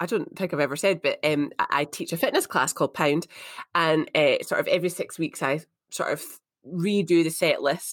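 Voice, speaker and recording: A woman speaks with an Edinburgh accent. Her pace is moderate. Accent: Scottish (Edinburgh). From Edinburgh, Scotland. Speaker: co-host, fitness instructor. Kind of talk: casual chat.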